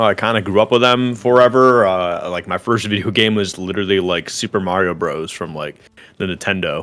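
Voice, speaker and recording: Loud and bright, with a sharp tone, a man with a fairly low pitch speaks at a moderate pace with lively intonation. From Massachusetts, US. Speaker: esports commentator. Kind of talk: interview. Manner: energetic.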